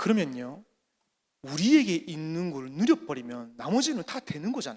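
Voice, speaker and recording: A man talks at a moderate pace in a high pitch. His pitch swings very widely. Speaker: pastor, conference speaker. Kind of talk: sermon with consecutive interpretation. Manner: short phrases with pauses for interpreter.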